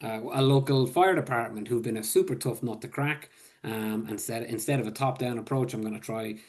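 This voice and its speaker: This voice, in an Irish accent, moves at a fairly quick pace with ordinary pitch variation. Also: man, medium pitch for a man. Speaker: public health supervisor. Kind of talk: webinar presentation. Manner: casual, filler-heavy.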